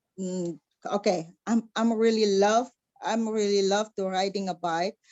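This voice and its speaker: A woman with an Indonesian accent, fairly slow, with ordinary pitch variation. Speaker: motorcycle rider, engineer. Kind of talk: interview. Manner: halting.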